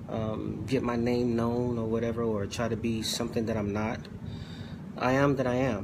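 A man speaks at a moderate pace in a flat, monotone way, with noticeable noise behind him. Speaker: preacher. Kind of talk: sermon. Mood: earnest, occasionally joking. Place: home room. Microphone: phone near.

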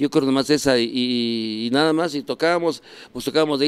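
Ordinary pitch variation comes through as a man talks at a moderate pace. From Mexico City area; Mexico. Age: 60s. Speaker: rock musician; interviewee. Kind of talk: casual chat. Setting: café. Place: bar. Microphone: handheld.

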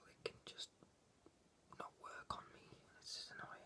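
A man whispering at a moderate pace. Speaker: ASMR creator. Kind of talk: ASMR whispered talk about a comic book. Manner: whispered. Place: home room. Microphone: webcam.

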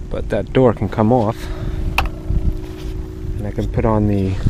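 At a moderate pace, a man speaks in a dry sound with no echo, amid noticeable background noise. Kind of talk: casual vlog chat. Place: boat. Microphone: phone near.

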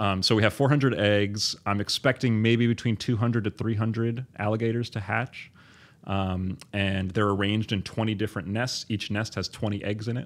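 A man speaks with an unremarkable speaking voice at a fairly low pitch. His pace is moderate and his intonation fairly even. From US Northeast. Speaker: biology professor. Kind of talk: interview.

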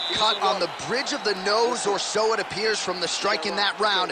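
The tone is animated and excited. Noticeable background noise sits behind it. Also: man. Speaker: play-by-play commentator. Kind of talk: live sports commentary. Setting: video game broadcast. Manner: animated play-by-play, brisk and excited, calling strikes and cuts as they happen.

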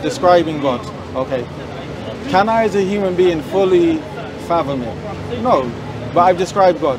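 A man talks at a moderate pace. The sound is dry with no echo, with crowd noise behind him. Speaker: street preacher debater. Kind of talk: debate argument. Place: street. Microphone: lapel.

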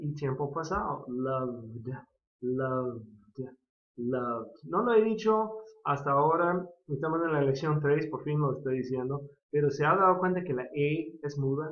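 Using an ordinary speaking voice, a man talks at a fairly slow pace in a fairly high pitch with ordinary pitch variation. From California. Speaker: English teacher and pastor. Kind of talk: lecture.

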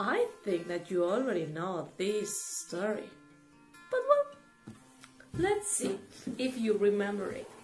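A woman in a cartoonish character voice at a fairly slow pace with long, frequent pauses, over clear background music. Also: medium pitch for a woman. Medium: puppet show. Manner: playful, enthusiastic.

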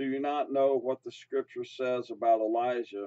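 The tone is dark and mellow, with fairly even intonation. The pace is fairly slow, and the background is quiet. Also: man. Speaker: Bible teacher. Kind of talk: sermon. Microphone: camera far.

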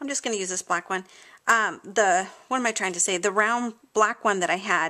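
Against a quiet background, a woman talks at a moderate pace with ordinary pitch variation and a bright, sharp tone. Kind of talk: tutorial. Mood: cheerful, enthusiastic.

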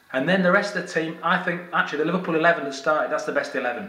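There is audible room echo around a man's voice. His pitch is high for a man, with ordinary variation. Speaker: football fan vlogger. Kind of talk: casual vlog commentary. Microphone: phone near.

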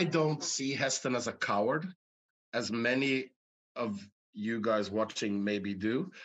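A man's medium-pitched voice, fairly slow, with lively intonation. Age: 50s. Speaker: actor. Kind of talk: interview. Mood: relaxed, reflective. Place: home room. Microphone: video call.

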